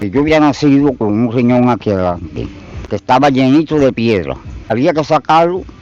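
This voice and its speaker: A man's medium-pitched voice at a moderate pace, with lively intonation and noticeable background noise. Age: 80s+. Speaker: retired machine operator. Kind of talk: street interview.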